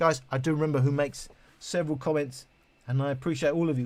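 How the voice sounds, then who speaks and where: This man's voice is somewhat breathy. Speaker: speaker and mattress reviewer. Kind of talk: live stream chat answering viewers. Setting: live stream. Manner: hesitant, many fillers.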